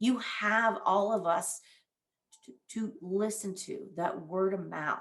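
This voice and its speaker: The speaker has an ordinary speaking voice, and the pitch varies in an ordinary way. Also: woman. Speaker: veteran career advisor. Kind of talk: presentation. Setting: virtual event.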